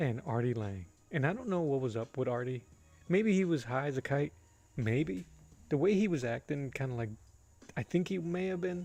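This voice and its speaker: Speaking at a moderate pace with long, frequent pauses, a man uses a dark, mellow tone at a fairly high pitch, his pitch swinging very widely. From US Northeast, Boston, Puerto Rican family. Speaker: painting livestreamer. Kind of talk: casual livestream chat. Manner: casual.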